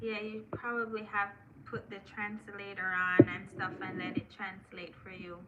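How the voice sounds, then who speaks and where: A woman at a medium pitch and a fairly slow pace, monotone and flat in intonation, with noticeable background noise. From Jamaica. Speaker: live streamer, content creator. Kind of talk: casual live stream chat. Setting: live stream on laptop. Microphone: laptop.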